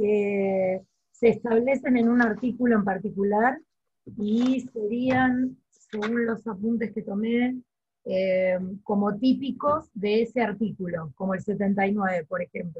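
A woman's somewhat breathy, fairly high voice, very slow in pace, with ordinary pitch variation. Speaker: law student. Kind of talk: online class discussion. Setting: video call. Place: home room. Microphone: very bad internet connection; video call.

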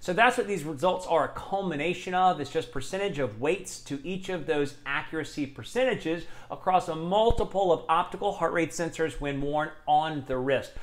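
Speaking at a moderate pace, a man with a high pitch shows ordinary pitch variation. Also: hardly any pauses. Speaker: fitness tech reviewer. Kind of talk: tech review talk. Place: home room. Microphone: lapel.

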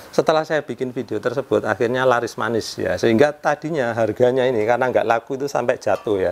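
A man speaks at a very fast pace with hardly any pauses. His voice sits at a medium pitch, with fairly even intonation. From Indonesia. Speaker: home repair YouTuber; home repair youtuber. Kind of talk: casual tutorial vlog. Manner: conversational, frequent filler 'ya'. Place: home room. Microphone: lapel.

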